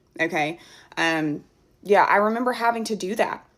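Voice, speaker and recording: A woman's voice with vocal fry and ordinary pitch variation, in an American accent. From US South. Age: adult. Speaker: TikTok creator. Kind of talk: casual rant to camera. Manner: animated.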